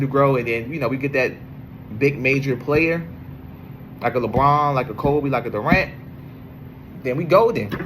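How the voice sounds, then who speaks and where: Through noticeable background noise and audible room echo, a man with an American accent speaks at medium pitch with fairly even intonation. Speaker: sports podcaster. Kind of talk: casual monologue. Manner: halting, many fillers.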